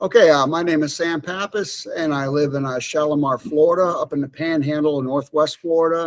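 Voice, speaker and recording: At a moderate pace, a man with a plain, everyday voice speaks at a fairly high pitch with ordinary pitch variation. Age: 50s. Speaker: retired air force, run coach. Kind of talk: casual chat.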